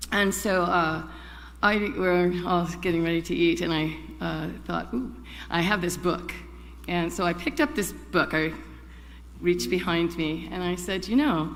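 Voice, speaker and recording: A woman talks at a fairly slow pace, leaving long, frequent pauses, with audible echo from the room. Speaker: congregation member, chalice lighter. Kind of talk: personal reflection and poetry reading. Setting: church service.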